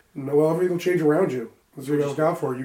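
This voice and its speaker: A man speaks very fast in a put-on character voice that is raspy and gruff, fairly high-pitched, with fairly even intonation. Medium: actual play. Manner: gruff, profane, folksy.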